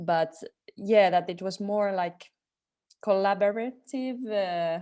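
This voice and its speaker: A woman speaks at a very slow pace. Her medium-pitched voice has a dark, mellow tone. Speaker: dance artist. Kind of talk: webinar discussion. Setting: video call. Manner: halting.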